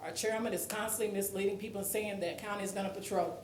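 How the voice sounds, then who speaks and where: The speech comes at a very fast pace over noticeable background noise, with audible room echo. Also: woman. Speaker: resident speaking at public comment. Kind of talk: public comment at council meeting. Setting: council meeting. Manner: shaky voice.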